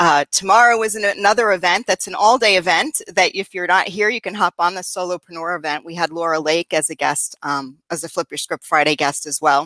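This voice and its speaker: With hardly any pauses, a woman speaks at a fairly quick pace in a bright, sharp tone with ordinary pitch variation, the sound dry with no echo against a quiet background. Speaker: co-host, mindset coach. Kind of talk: casual chat. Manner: enthusiastic.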